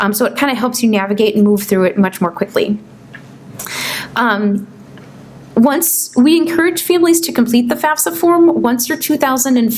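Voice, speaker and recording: Noticeable background noise accompanies this woman's voice. Her pitch is fairly high, and her intonation is lively. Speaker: financial aid presenter. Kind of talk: informational seminar presentation. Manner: fast.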